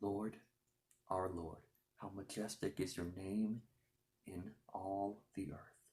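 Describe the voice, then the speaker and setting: This man whispers at a very slow pace. He is soft-spoken and somewhat breathy. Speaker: ASMR creator. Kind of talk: ASMR scripture reading. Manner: soft-spoken, whispered.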